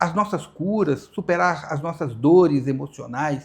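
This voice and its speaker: This man talks with lively intonation. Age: 60s. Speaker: hypnotherapist. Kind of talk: podcast interview. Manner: halting.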